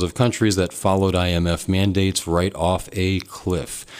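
A man talks with a very deep, low pitch. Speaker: radio talk show host. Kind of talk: call-in talk radio. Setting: radio studio.

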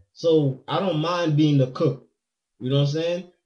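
The voice is somewhat breathy with a dark, mellow tone, moving at a fairly quick pace with fairly even intonation. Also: man. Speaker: DJ. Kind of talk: casual chat.

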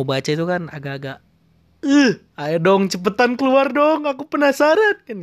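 A man's voice rises and falls dramatically in pitch. He keeps to a medium speed. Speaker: solo podcaster, anime and manga fan. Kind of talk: casual monologue. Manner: rambling with many fillers and hesitations.

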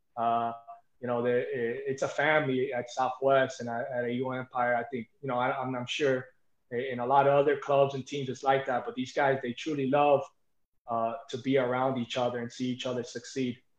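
This man has an American accent and a medium pitch. He speaks at a moderate pace with monotone, flat intonation. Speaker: high school wrestling coach. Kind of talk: interview.

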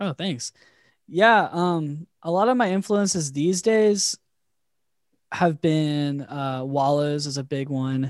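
A man with a fairly high pitch talks at a very slow pace with ordinary pitch variation, in a very clean recording with a silent background and a dry, close sound with no echo. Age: 20s. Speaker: musician and producer. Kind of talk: casual interview chat. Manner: casual, rambling, repeats words.

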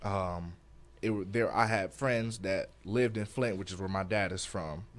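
A man talks at a moderate pace. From Detroit, Michigan, US. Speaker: podcast co-host. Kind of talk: casual chat.

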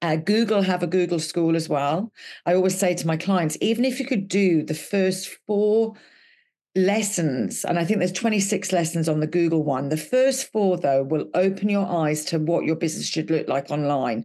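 Against a quiet background, a woman in a Welsh accent speaks at a moderate pace with a fairly low pitch, a dark, mellow tone, lively intonation and very even loudness. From Wales. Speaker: podcast co-host, business consultant. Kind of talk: casual chat.

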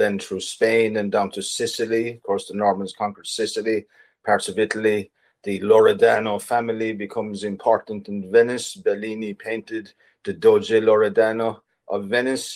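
With an Irish accent, a man speaks at a medium pitch and a moderate pace in a monotone, flat intonation. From Ireland. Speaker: writer and artist. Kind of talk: interview. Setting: video call.

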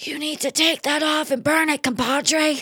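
A raspy, high-pitched put-on character voice with monotone, flat intonation. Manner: menacing.

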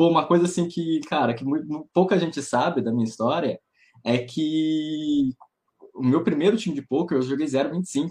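A man with a fairly high pitch talks at a moderate pace with ordinary pitch variation. He makes long, frequent pauses. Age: 20s. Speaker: professional poker player. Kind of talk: casual chat.

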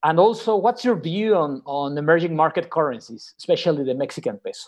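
A man with a Spanish accent and lively intonation. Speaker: podcast co-host, financial strategist. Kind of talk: interview.

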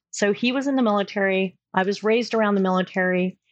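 A woman speaks with a General American accent at a moderate pace. Her intonation is fairly even in an ordinary speaking voice. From Southern California. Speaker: career coach. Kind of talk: interview.

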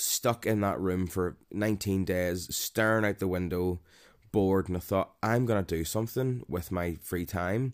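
Recorded very cleanly against a silent background, a man with a very deep, low pitch speaks at a moderate pace with ordinary pitch variation. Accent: Northern Irish. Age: 30s. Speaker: podcaster on mental health. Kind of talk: personal monologue. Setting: home recording. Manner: hesitant, many fillers.

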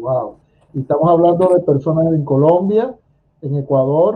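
A normal speaking voice from a man, fairly high in pitch with ordinary pitch variation, at a moderate pace. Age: 50s. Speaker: radio host and essential oils promoter. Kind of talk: casual interview.

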